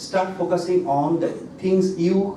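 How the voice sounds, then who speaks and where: A man speaks at a fairly slow pace. Audible room echo and noticeable background noise come through. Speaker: doctor and hypnotherapist. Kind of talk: health talk to audience.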